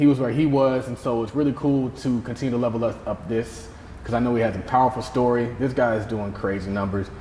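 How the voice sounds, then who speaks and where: A man talks at a very fast pace with a medium pitch and fairly even intonation. Noticeable background noise runs underneath. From US South. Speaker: podcast host. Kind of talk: interview conversation.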